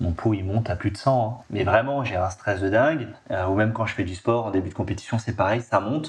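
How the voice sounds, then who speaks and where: Using a plain, everyday voice, a man talks at a fairly quick pace with a fairly low pitch and ordinary pitch variation. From Nice, southern France. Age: 30s. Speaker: guest, father and university lecturer. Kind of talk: podcast interview. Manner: casual, many fillers.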